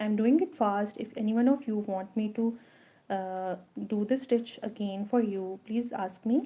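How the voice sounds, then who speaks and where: At a fairly slow pace, a woman speaks with a fairly high pitch, ordinary pitch variation, and a dark, mellow, somewhat breathy tone. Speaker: crochet instructor. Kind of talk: tutorial. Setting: live stream.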